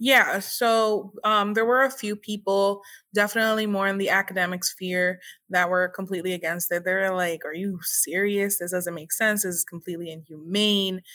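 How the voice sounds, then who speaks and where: Recorded very cleanly against a silent background, a woman with a Spanish accent speaks at a moderate pace and medium pitch, her bright, sharp tone carrying fairly even intonation. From Puerto Rico. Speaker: historian, activist and educator. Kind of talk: interview.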